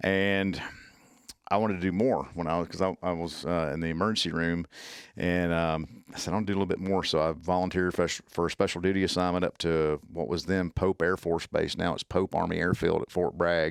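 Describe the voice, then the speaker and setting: Captured in a very clean, dry, close recording with no echo and a silent background, a man with a very deep, low voice talks fairly quickly in a flat monotone, in a strong Southern US accent. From US South. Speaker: tactical medicine instructor. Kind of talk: podcast interview. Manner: halting.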